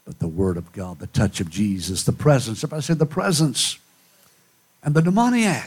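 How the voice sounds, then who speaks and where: Breathing a little into his words, a man with a medium pitch talks at a moderate pace in an animated tone, his pitch swinging very widely and his loudness rising and falling sharply. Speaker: preacher. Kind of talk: sermon in full flow, revival-style preaching with dramatic alliterative rhetoric. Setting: church with live congregation. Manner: animated, fervent, rhetorical call-and-response, rising and falling for effect; dramatic, rhythmic, poetic delivery with hushed intensity.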